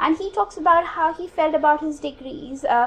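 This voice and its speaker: Over noticeable background noise, a woman with an Indian accent talks in a high voice. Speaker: academic researcher. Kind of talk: conference talk. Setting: conference room with audience. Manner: halting, many fillers.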